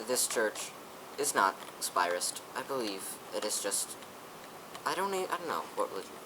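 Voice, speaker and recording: Through noticeable background noise, a man of medium pitch speaks at a moderate pace with very wide pitch swings and long, frequent pauses. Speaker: gaming youtuber. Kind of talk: casual gameplay commentary.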